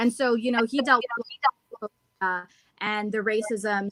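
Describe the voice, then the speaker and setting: Having an ordinary speaking voice, a woman with an American accent talks at a moderate pace and fairly high pitch, with fairly even intonation and a dry, close sound with no echo. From Ohio, US Midwest. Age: 20s. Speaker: stand-up comedian. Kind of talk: interview.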